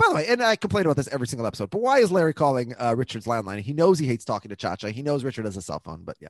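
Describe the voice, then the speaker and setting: A man with an American accent talks at a very fast pace with hardly any pauses. His medium pitch swings very widely, and the sound is dry and close with no echo. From Minneapolis, US Midwest. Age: 30s. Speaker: podcast host. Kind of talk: casual chat.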